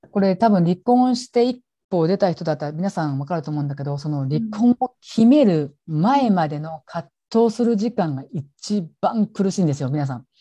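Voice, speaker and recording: Somewhat breathy and dark, mellow in tone, a woman speaks at a moderate pace with fairly low pitch and very wide pitch swings, the sound dry and close with no echo against a quiet background. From Japan, Gifu. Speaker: support worker for abuse survivors. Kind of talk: interview testimony. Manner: hesitant, many fillers.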